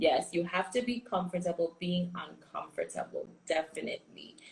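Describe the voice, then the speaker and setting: The voice is somewhat breathy, moving at a moderate pace. Its pitch variation is ordinary. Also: woman. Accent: Caribbean. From US Virgin Islands. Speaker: business coach. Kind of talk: live stream chat. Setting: Instagram live stream. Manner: animated.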